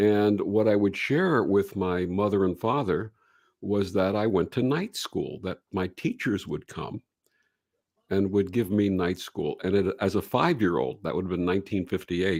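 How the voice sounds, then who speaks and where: Someone with an American accent speaks at a moderate pace with ordinary pitch variation. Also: man, fairly low pitch for a man. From Brooklyn, New York. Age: 60s. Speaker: reverend and radio show host. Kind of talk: interview storytelling.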